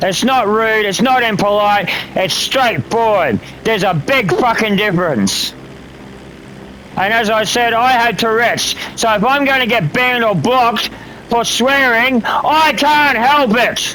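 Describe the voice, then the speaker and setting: With an Australian accent and an angry tone, a man raises and projects an extremely high-pitched voice at a fairly slow pace, his loudness very even and his pitch variation ordinary, amid noticeable background noise and audible room echo. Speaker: gamer streamer and military veteran. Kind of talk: casual livestream rant. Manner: angry, profane ranting.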